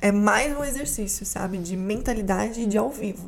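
A woman with a medium pitch talks at a fairly slow pace. Audible room echo is present. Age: 20s. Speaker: actress, journalist and communication mentor. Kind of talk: casual interview chat.

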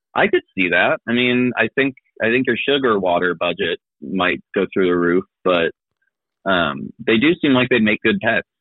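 With a Midwestern American accent, a man speaks at a medium pitch and moderate pace, using lively intonation and very even loudness. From Kansas City, Missouri. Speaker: improv comedian and teacher. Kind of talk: casual chat.

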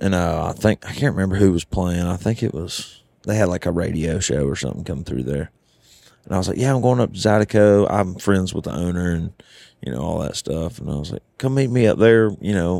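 With a Southern US accent, a man speaks at a fairly quick pace in a very deep, low pitch, his tone dark and mellow and his intonation lively. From US South. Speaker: country singer-songwriter. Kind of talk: casual chat. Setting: studio.

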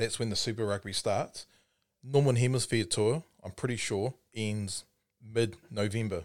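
A man speaks with a New Zealand accent. The recording is very clean, with a silent background. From New Zealand, Timaru. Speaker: rugby podcast co-host. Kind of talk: casual chat. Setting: studio.

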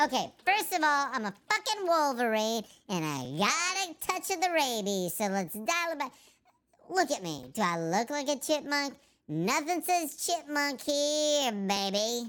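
Growling in a put-on character voice, a woman speaks at a high pitch and a moderate pace. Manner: menacing, scary growl.

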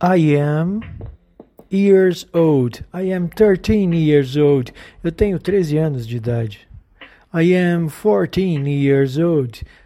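Someone speaks with a Portuguese accent. The pace is very slow. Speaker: English teacher. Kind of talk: tutorial. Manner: slow, repetitive drilling.

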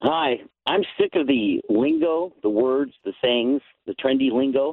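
His voice sits fairly high for a man. The pitch rises and falls in an ordinary way. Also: fairly slow pace. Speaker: radio caller. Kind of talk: phone call to talk radio, joking. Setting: phone call. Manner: mimicking a politician's delivery.

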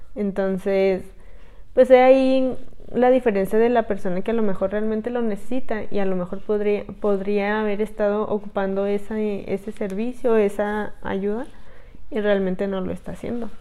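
A dark, mellow tone delivered at a moderate pace with monotone, flat intonation. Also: woman, medium pitch for a woman. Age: 20s. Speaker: podcast co-host. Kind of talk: casual chat.

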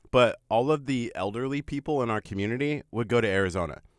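A man talks at a fairly quick pace with medium pitch and a normal speaking voice. The recording is very clean, with a silent background. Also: dry, close sound with no echo. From Nebraska, US Midwest. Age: 30s. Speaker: radio host. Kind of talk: casual radio chat. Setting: radio studio.

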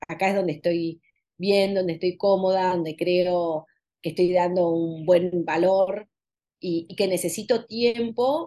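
A woman's medium-pitched voice with a dark, mellow tone, fairly even intonation and a moderate pace. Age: 50s. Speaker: author and consultant. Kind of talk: interview.

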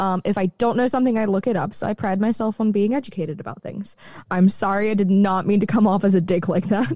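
A somewhat breathy, very fast delivery with ordinary pitch variation, a dark, mellow tone, and a dry, close sound free of echo. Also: woman, medium pitch for a woman. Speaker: podcast co-host. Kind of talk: casual chat. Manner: a little higher and sweeter, smooth.

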